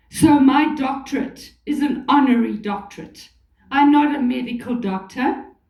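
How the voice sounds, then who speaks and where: Amid audible room echo, a woman talks fairly slowly in a high voice with a dark, mellow tone and ordinary pitch variation. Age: 70s. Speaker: motivational speaker. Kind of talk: motivational talk. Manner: animated.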